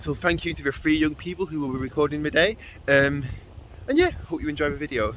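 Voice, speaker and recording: Talking at a very fast pace, a man shows ordinary pitch variation amid noticeable background noise. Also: fairly high pitch for a man. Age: 20s. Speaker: youth worker running forest school sessions. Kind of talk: casual vlog introduction. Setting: outdoors at forest school site.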